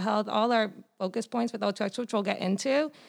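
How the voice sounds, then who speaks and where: Fairly even intonation runs through this woman's delivery at a moderate pace. She has an ordinary speaking voice. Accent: American. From Massachusetts. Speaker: dietitian. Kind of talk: casual interview.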